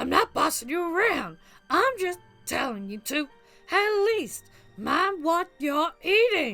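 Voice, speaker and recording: A woman does a put-on character voice at an extremely high pitch, with very wide pitch swings and a fairly slow pace. Faint music plays in the background. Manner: scolding, bossy.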